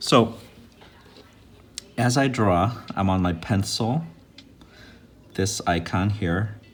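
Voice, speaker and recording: Somewhat breathy and fairly low-pitched, a man speaks very slowly with lively intonation. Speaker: art teacher. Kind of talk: tutorial.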